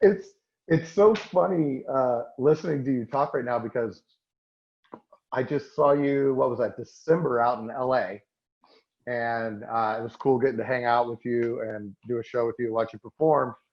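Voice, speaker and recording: Using an unremarkable speaking voice, a man with an American accent talks at a medium pitch with ordinary pitch variation. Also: moderate pace. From Oklahoma. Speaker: podcast host and comedian. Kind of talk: casual chat.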